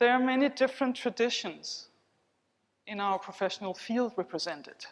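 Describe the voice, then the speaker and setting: A woman speaks with a non-native accent at a fairly high pitch, with ordinary pitch variation. The recording is very clean, with a silent background. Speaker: body psychotherapist. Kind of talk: conference keynote with guided body awareness. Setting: conference hall with audience. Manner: slow, guiding.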